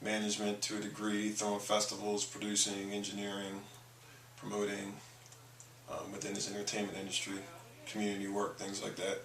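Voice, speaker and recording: A man with an American accent at a fairly quick pace, monotone and flat in intonation, with audible room echo and noticeable background noise. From Maryland, US (Baltimore/Annapolis). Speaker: musician and producer. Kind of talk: interview.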